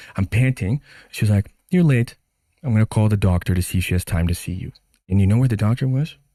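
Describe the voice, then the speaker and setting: A man with an American accent at a very fast pace, fairly low in pitch, with a dark, mellow tone, lively intonation and a dry, close sound with no echo. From Brazil. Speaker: immigrant patient telling her story. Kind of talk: casual chat. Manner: animated.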